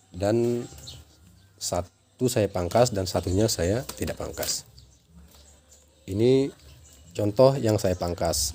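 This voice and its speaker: Very slow and broken by long, frequent pauses, a man speaks in a fairly low pitch with a dark, mellow, somewhat breathy tone. His pitch varies in an ordinary way. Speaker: chili grower, farming vlogger. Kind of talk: tutorial. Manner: casual.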